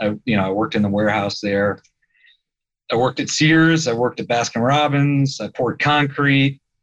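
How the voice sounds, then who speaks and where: Speaking with a Midwestern US accent, a man moves at a fairly quick pace in a medium pitch. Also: ordinary pitch variation. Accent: US Midwest. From Indiana, Fort Wayne. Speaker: insurance investment executive. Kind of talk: podcast interview.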